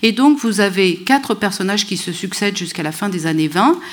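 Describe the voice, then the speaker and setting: The woman speaks at a medium pitch. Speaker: history professor. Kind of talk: lecture.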